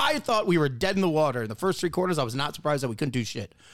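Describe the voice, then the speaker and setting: A man with an American accent speaks very fast at a fairly high pitch, with vocal fry and very wide pitch swings. The recording is very clean, with a silent background. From Wisconsin. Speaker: podcast co-host. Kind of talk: casual chat.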